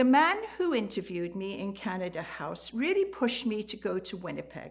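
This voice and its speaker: Her loudness swings widely as the woman talks at a fairly quick pace. Noticeable background noise can be heard. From eastern England, the Fens. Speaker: storyteller. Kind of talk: storytelling.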